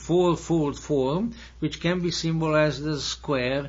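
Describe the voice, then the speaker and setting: A man's fairly high voice in a Hungarian accent, very slow, with ordinary pitch variation and audible room echo. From Hungary. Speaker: lecturer. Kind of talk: lecture. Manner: halting.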